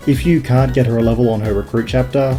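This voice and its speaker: Backed by music, a man with an Australian accent talks at a very fast pace. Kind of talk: video game commentary narration. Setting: small box room.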